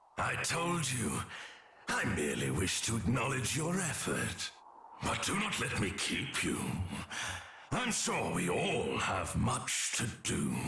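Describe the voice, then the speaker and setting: A man's put-on character voice at medium pitch, fairly slow, with long, frequent pauses and clear background noise. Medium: video game. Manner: smooth, mocking, unhurried.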